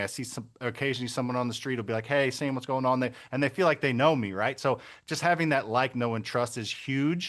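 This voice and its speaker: Here a man with an American accent talks at a medium pitch with ordinary pitch variation. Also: quiet background. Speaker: real estate investor. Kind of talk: interview. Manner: fast; mumbling.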